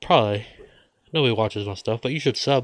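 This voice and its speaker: This man has a medium pitch and talks with an American accent. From United States. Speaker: vlogger. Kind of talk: casual monologue.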